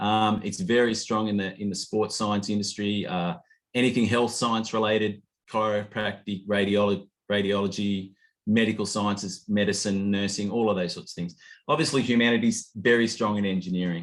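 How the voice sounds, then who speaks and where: A man with an Australian accent, fairly low-pitched, with fairly even intonation against a quiet background. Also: moderate pace. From rural Australia. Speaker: study abroad program director. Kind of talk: information session presentation. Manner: halting, many false starts.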